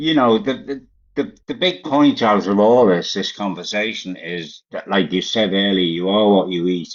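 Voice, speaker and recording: A man's fairly low voice at a moderate pace, with lively intonation. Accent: Liverpool. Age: 80s+. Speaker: vegan live-stream host. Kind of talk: casual chat.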